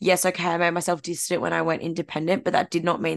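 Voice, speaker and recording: Over a quiet background, the woman talks in an Australian accent. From Australia, far from Gold Coast. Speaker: podcast co-host. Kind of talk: casual chat.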